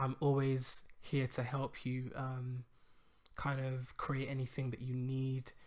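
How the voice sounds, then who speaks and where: A man's mumbling at a medium pitch, on a very clean recording with a silent background. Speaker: web design tutorial youtuber. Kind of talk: tutorial. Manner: hesitant, many fillers.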